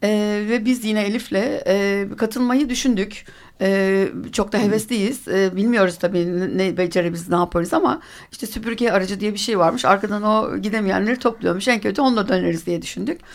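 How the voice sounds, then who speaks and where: The recording is very clean, with a silent background. A woman talks at a medium pitch with ordinary pitch variation. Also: moderate pace. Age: 50s. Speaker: recreational cyclist. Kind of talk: radio interview. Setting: radio studio. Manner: halting, many fillers.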